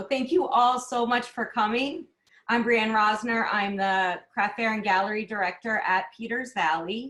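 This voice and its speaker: A woman with a normal speaking voice and a fairly high pitch talks at a fairly slow pace with ordinary pitch variation. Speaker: craft fair and gallery director. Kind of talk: webinar presentation and demo.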